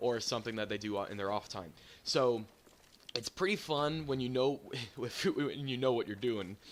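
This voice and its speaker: Against noticeable background noise, a man at medium pitch talks at a moderate pace with ordinary pitch variation. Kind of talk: casual gaming commentary. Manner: hesitant, stuttering.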